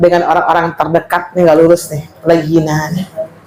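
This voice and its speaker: A woman's fairly low voice at a fairly quick pace, with audible room echo and noticeable background noise. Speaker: female Islamic teacher. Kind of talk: religious study lecture. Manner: loud; animated.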